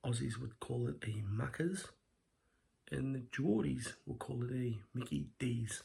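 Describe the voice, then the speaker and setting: Quiet and somewhat breathy, a man speaks at a fairly slow pace in a dark, mellow tone, his medium pitch moving with lively intonation. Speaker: food reviewer. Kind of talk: casual food review vlog. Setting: at home at night.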